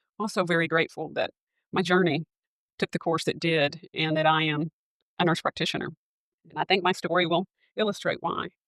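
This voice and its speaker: A woman with a Southern US accent and a fairly low pitch talks at a fairly quick pace in a monotone, flat intonation, with long, frequent pauses, the sound dry and close with no echo over a quiet background. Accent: noticeable Southern US. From US South, Arkansas. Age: 40s. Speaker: nurse practitioner and podcast host. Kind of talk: personal testimony. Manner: halting, with fillers.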